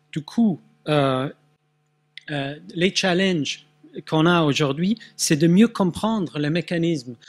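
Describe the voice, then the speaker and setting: This man talks very slowly with long, frequent pauses, his pitch high and its variation ordinary. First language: Swedish (speaking French). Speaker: neuroscience researcher. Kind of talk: conference talk. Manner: halting, many hesitations.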